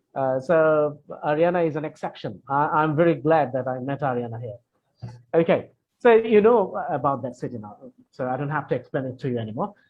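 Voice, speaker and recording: A man with a Bengali accent speaks at a fairly quick pace in a fairly high pitch. His intonation is lively, and his loudness swings widely. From Bangladesh. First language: Bangla. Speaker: English teacher. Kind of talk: Q&A session. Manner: hesitant, many fillers and repetitions.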